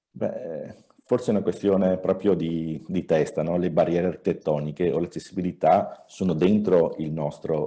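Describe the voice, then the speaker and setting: A man speaks at a moderate pace with fairly even intonation. His tone is dark and mellow. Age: 60s. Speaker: architect, wheelchair user. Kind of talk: webinar interview. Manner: halting, many fillers.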